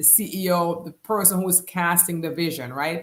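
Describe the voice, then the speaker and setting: A woman talks with a Jamaican accent. Her pitch is medium and her pace moderate. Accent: Jamaican, kept after 35 years in US. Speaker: business coach. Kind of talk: live stream talk. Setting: live stream.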